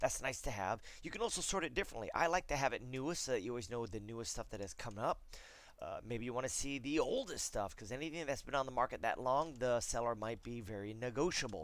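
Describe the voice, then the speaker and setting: Speaking very fast with lively intonation, a man uses a medium-pitched voice. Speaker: real estate agent. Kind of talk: screencast tutorial. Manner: casual, filler words.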